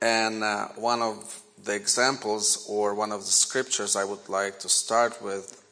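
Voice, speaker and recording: A man with a Ukrainian accent, fairly low pitch, fairly even intonation and a very slow pace, over noticeable background noise. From Ukraine. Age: 40s. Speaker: guest preacher. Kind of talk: sermon. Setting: church. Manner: halting.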